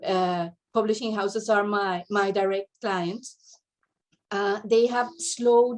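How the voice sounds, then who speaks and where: A woman with a non-native accent speaks at a fairly slow pace and medium pitch, with fairly even intonation. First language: not English. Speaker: literary translator. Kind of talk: panel talk, partly read from notes. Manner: halting, many fillers and repetitions.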